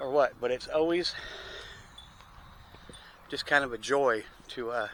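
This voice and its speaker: A man talks over noticeable background noise. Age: 50s. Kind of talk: casual talk to camera. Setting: outdoors. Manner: rambling, hesitant.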